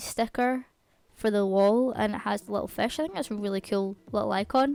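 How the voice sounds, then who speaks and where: A woman with a Scottish accent talks fairly quickly, her fairly high voice dark and mellow in tone. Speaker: gaming YouTuber. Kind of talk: gameplay voiceover commentary. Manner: fast.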